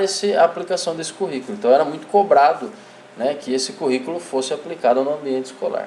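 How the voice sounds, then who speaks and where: A man speaks at a fairly high pitch, with noticeable background noise and audible room echo around him. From interior of São Paulo state, Brazil. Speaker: physical education teacher / course instructor. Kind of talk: online lecture. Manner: hesitant, many fillers.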